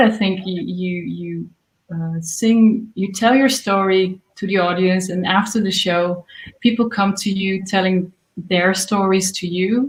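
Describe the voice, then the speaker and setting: A woman speaks very slowly in a Dutch accent. Her voice is somewhat breathy, with fairly even intonation. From Netherlands. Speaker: singer-songwriter. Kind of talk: interview. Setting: livestream. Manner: halting.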